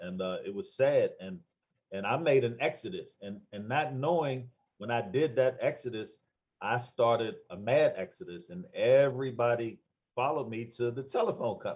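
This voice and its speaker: Speaking with an American accent at a moderate pace, a man with a medium pitch and ordinary pitch variation sounds somewhat breathy. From Washington, D.C. area (Prince George's County), US East Coast. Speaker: insurance broker, Marine veteran. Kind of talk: interview self-introduction. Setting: call. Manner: animated.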